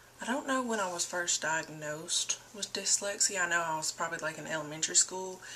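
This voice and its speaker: Against noticeable background noise, a woman with a fairly low pitch talks at a fairly quick pace with hardly any pauses and ordinary pitch variation. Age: 20s. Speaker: vlogger. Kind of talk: personal testimony. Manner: casual, hesitant with many fillers.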